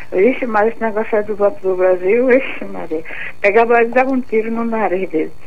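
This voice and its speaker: A woman talks at a fairly quick pace in a fairly high pitch with ordinary pitch variation. Audible room echo and noticeable background noise surround her voice. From Northeast Brazil. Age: 80s+. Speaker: caller. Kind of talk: phone-in.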